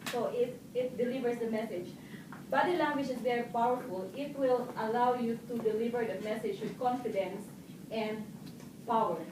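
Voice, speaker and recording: There is noticeable background noise behind a woman speaking. Her voice is fairly high, with ordinary pitch variation, at a moderate pace. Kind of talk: public speaking club speech.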